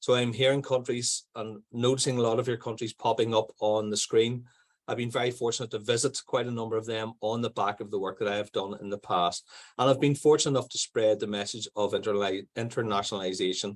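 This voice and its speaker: A man with a Northern Irish accent talks at a fairly quick pace and medium pitch. His intonation is fairly even, and the background is quiet. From Northern Ireland. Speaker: primary school principal. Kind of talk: conference presentation. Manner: fast.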